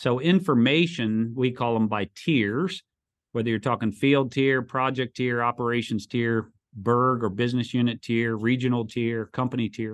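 With a normal speaking voice, a man talks at a moderate pace and medium pitch using fairly even intonation. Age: 50s. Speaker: construction company CEO. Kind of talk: interview.

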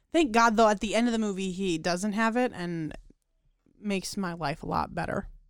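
On a very clean recording with a silent background, a woman with a normal speaking voice talks at a moderate pace, at medium pitch with ordinary pitch variation. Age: 20s. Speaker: podcast co-host. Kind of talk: casual chat.

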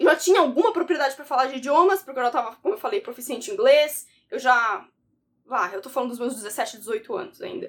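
A woman's high pitch at a very fast pace, with very wide pitch swings and big swings in loudness. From Brazil, São Paulo coast (São Vicente). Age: 20s. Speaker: study and language-learning content creator, university student. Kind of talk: casual self-introduction vlog.

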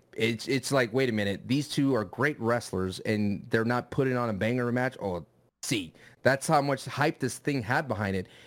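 On a very clean recording with a silent background, a man speaks at a moderate pace in a medium pitch with ordinary pitch variation. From USA, Mexican-American. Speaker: wrestling podcast co-host and streamer. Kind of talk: casual chat.

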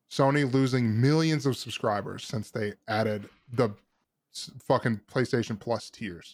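A man with an unremarkable speaking voice, medium in pitch, fairly slow, with ordinary pitch variation. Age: 20s. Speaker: gaming podcast host. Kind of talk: casual chat.

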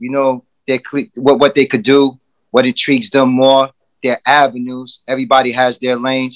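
A man's medium-pitched voice with a New York accent, fairly quick, in a dry, close sound with no echo. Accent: New York City. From Bronx, New York. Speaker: entrepreneur. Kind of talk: casual chat.

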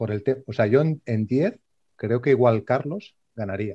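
This is an ordinary speaking voice from a man at a medium pitch. He keeps a moderate pace with ordinary pitch variation. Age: 40s. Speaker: amateur runner. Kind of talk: casual chat.

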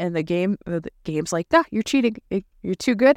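A woman with a plain, everyday voice speaks at a medium pitch with lively intonation. The very clean recording has a silent background and a dry, close sound with no echo. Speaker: gaming podcast host. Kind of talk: casual chat, gaming news. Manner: casual, rambling, filler words.

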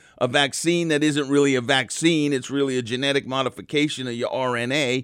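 The man's pitch sits in the medium range. He speaks fairly quickly. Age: 60s. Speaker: radio talk show host. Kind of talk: call-in talk radio. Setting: radio studio. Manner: animated.

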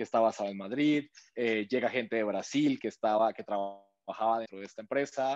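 The sound is dry and close, with no echo. A man talks at a moderate pace and medium pitch, his intonation fairly even. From Colombia. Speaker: startup co-founder. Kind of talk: interview. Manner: halting, many repetitions and fillers.

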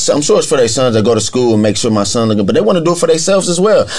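With an American accent, a man with an ordinary speaking voice at a medium pitch talks with lively intonation. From Akron, Ohio (east side). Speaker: youth mentoring program coordinator. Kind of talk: casual group conversation. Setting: podcast studio.

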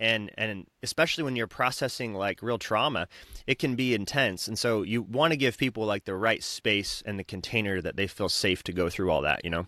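A man with an American accent talks at a fairly quick pace, barely pausing, his pitch varying in an ordinary way. His tone is bright and sharp, recorded dry and close with no echo in a very clean, silent setting. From southern Utah, US. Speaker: wellness center founder. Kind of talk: interview conversation. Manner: halting, many repetitions.

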